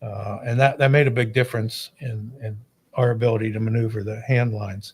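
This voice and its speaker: A man talks fairly quickly in a somewhat breathy voice, with a medium pitch and monotone, flat intonation. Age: 60s. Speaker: fire chief, podcast co-host. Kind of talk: casual chat.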